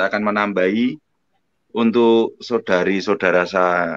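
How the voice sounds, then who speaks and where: A man with a fairly low pitch speaks at a very slow pace with ordinary pitch variation. The sound is dry and close, without echo. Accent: North Sumatran. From Indonesia, Surabaya (East Java). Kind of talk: live online religious discussion. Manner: loud, forceful delivery.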